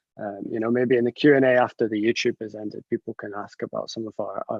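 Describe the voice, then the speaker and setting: A man with a Scottish accent at a very fast pace. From northern Scotland. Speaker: chemist. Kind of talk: presentation talk. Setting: video call. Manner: halting.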